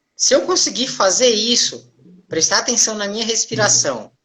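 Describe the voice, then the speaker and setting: With lively intonation and some vocal fry, a woman talks at a moderate pace in a fairly high pitch. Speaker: therapist hosting live stream. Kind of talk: casual live stream talk. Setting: live video stream.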